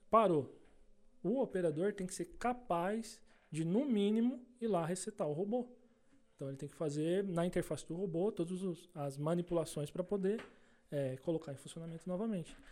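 A man's high voice at a moderate pace, ordinary pitch variation, long and frequent pauses. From Brazil, Salto (São Paulo state). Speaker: machining team leader. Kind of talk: casual interview chat.

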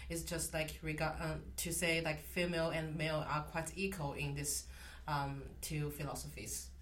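A woman speaks with a Chinese accent at a moderate pace. The room echo is audible. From China. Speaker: literature graduate student. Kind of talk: interview. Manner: halting, many fillers.

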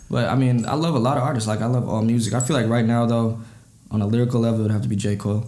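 A man with an American accent and a medium pitch, very fast in pace, with fairly even intonation, very even loudness, and audible room echo. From Minnesota. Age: 20s. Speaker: rapper. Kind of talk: casual chat.

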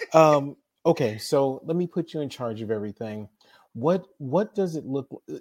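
In a very clean recording with a silent background, a man with an American accent speaks at a moderate pace. He has a plain, everyday voice, fairly high in pitch, with lively intonation. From US (grew up in the projects). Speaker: podcast host. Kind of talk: interview conversation.

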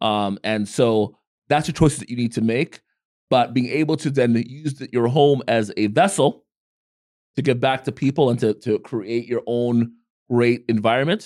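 A man at a moderate pace, medium pitch, ordinary pitch variation. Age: 40s. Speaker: podcast co-host. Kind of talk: casual chat. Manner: direct.

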